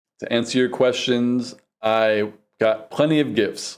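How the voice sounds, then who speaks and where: A man talks with a New York accent at a medium pitch. His pace is very slow. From New York City, the Bronx. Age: 40s. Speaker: vlogger. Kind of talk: casual vlog monologue.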